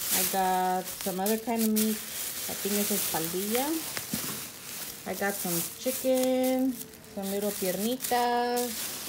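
A woman speaks at a fairly slow pace. Noticeable background noise runs behind her. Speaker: home vlogger. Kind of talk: casual grocery haul vlog. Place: home room. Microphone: phone near.

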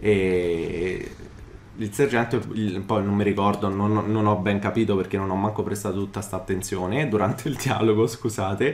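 Over noticeable background noise, a man talks at a moderate pace with fairly even intonation and a fairly low pitch. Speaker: gaming YouTuber. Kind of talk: let's play commentary.

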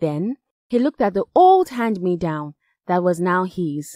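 Speaking with a West African accent, a woman uses a medium pitch and lively intonation at a fairly slow pace. The sound is dry and close with no echo, on a very clean recording with a silent background. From Nigeria. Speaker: voice actor. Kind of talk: children's story reading.

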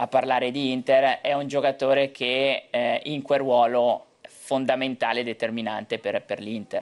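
A man with a medium pitch talks at a fairly slow pace. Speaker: football pundit. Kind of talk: TV football talk show. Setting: TV studio. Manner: halting, repeats words.

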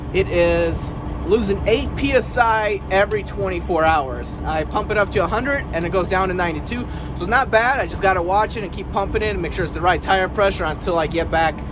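Over noticeable background noise, a man talks at a fairly quick pace in a dry sound with no echo. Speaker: truck driver vlogger. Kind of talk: casual vlog chat. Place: street. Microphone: phone near.

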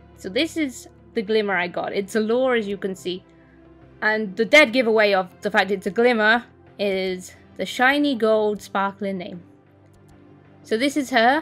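Over background music, a woman speaks at a moderate pace with long, frequent pauses. Her pitch is fairly high and varies in an ordinary way. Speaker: gaming video creator. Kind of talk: gameplay commentary.

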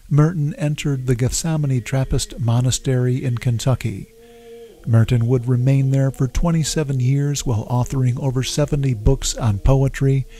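A man's dark, mellow, somewhat breathy voice at a fairly slow pace with fairly even intonation, dry with no echo over light background noise. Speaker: documentary narrator, blog host. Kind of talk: documentary narration.

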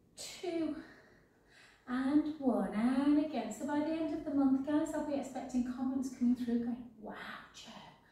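Amid strong room echo, a woman with a high, dark and mellow voice talks at a moderate pace with fairly even intonation. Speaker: fitness instructor. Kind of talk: workout class instruction with casual chat. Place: home room. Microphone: camera far.

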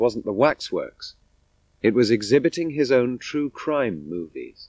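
At a moderate pace, a man uses an ordinary speaking voice with lively intonation. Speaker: documentary narrator. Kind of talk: scripted narration.

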